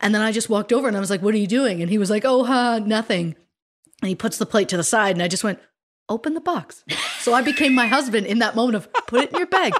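With a Canadian accent, a woman talks at a very fast pace in a fairly high pitch. Her intonation is lively. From Canada, Ontario. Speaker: true crime podcast co-host. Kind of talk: casual chat. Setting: video call.

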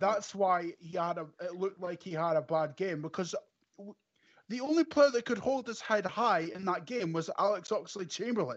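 A man with a Scottish accent speaks at a high pitch and a moderate pace. His tone is animated and his intonation lively. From Scotland. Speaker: football fan podcast guest. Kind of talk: casual chat.

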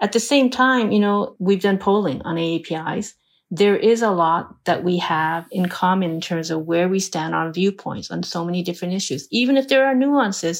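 A woman with an ordinary speaking voice and a medium pitch talks at a moderate pace with hardly any pauses and lively intonation. The recording is very clean, with a silent background. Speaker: philanthropy leader funding civic groups. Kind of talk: interview.

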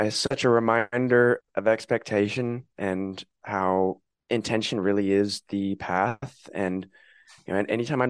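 The sound is dry and close, with no echo. The background is quiet. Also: man. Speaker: podcaster and spiritual content creator. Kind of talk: casual chat.

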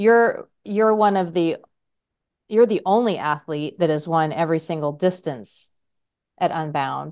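A woman with a plain, everyday voice speaks at a moderate pace against a quiet background. Her pitch is fairly low, with lively intonation. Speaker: podcast co-host. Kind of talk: casual chat.

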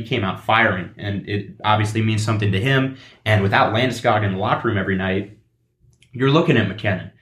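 A man's normal speaking voice, fairly low in pitch with ordinary pitch variation, at a fairly quick pace. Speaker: guest sports broadcaster. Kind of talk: casual sports chat.

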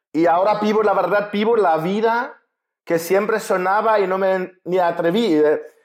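A man with a German accent speaks at a fairly slow pace in a high pitch, with fairly even intonation and very even loudness. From Germany. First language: German (speaking Spanish). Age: 40s. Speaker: writer and coach. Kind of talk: interview conversation.

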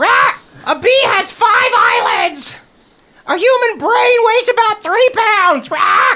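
A put-on character voice shouts at an extremely high pitch. The pace is fairly slow. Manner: shouting, squawking.

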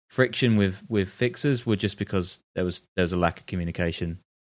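On a very clean recording with a silent background, a man with a British accent speaks fairly quickly, his pitch fairly low with ordinary variation. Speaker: podcast co-host and journalist. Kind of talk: casual chat.

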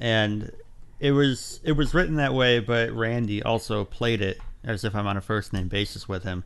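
In a plain, everyday voice, the speaker goes at a moderate pace with ordinary pitch variation. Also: man, medium pitch for a man. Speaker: fan film producer. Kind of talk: casual panel discussion.

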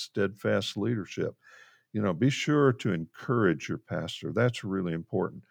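Over a quiet background with a dry, close sound and no echo, a man with an American accent speaks at a moderate pace in an ordinary speaking voice, fairly low in pitch with lively intonation. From Central Florida. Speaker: pastoral counselor. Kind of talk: interview conversation.

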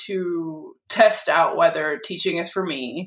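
At a fairly slow pace, a woman speaks in an ordinary speaking voice with an American accent. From Massachusetts, Lynn (north of Boston). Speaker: lawyer. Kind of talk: casual interview.

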